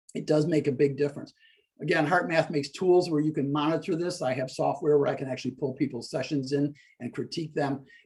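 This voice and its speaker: Speaking at a very fast pace, a man uses a fairly high, somewhat breathy voice with fairly even intonation. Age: 60s. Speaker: stress-reduction coach. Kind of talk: interview explaining a technique.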